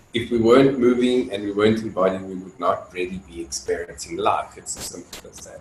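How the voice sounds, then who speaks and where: A man speaks at a medium pitch with noticeable background noise. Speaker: dance facilitator. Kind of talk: lecture. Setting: video call. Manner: loud; halting, many fillers.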